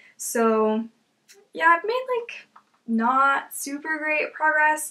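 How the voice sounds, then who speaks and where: Her voice raised and projected, a woman speaks at a very slow pace with a high pitch, a bright, sharp tone and very wide pitch swings. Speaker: beauty vlogger. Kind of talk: casual product review vlog. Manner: casual, filler-heavy.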